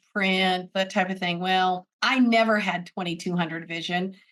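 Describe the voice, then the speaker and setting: In a bright, sharp tone, a woman speaks with an American accent. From US, military family moving around. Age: 60s. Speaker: braille literacy advocate. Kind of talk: interview.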